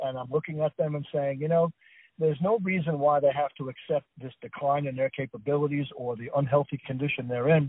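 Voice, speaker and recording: A man talks at a fairly quick pace in a plain, everyday voice, with a fairly high pitch and an American accent. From New Jersey. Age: 60s. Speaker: author and food scientist. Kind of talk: radio interview. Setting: phone call.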